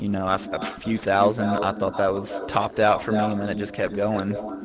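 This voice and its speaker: Music plays behind a man who speaks at a moderate pace in a bored tone, his fairly low voice flat and monotone. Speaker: YouTuber and streamer. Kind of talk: Q&A interview. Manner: flat, sounds bored.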